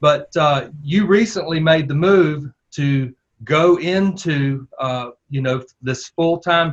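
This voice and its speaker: A man's fairly high, somewhat breathy voice with a Southern US accent. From US South. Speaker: podcast host, former church planter. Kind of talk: interview.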